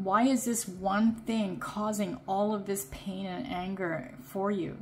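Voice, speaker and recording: A woman's voice comes out somewhat breathy. It has medium pitch and ordinary variation. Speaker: tarot card reader. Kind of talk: pick a card tarot reading. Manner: casual; halting.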